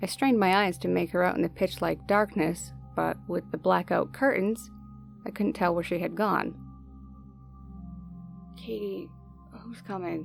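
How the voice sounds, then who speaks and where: A woman at a moderate pace with long, frequent pauses, music in the background. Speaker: horror story narrator. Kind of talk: horror story narration.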